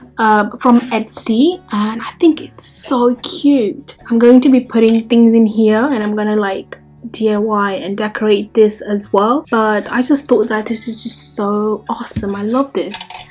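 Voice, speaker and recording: Over noticeable background noise, a woman speaks at a fairly high pitch with fairly even intonation. Her pace is fairly slow, with hardly any pauses. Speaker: lifestyle vlogger. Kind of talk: casual vlog tutorial. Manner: quiet; chatty, many fillers.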